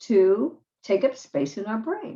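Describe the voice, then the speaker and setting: Her tone is dark and mellow. The woman speaks at a medium pitch with very wide pitch swings. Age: 60s. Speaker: self-help vlogger. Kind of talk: motivational talk to camera. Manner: conversational.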